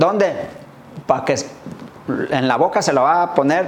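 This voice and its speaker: Noticeable background noise and audible room echo accompany a man speaking at a moderate pace with lively intonation. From Michoacán, Mexico. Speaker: barber. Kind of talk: interview. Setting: barbershop.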